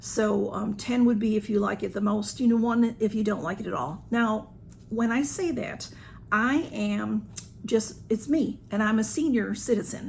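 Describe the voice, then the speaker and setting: A woman with a Southern US accent, fairly high in pitch, at a moderate pace. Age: 60s. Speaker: YouTuber. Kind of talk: haul video. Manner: casual, hesitant with fillers.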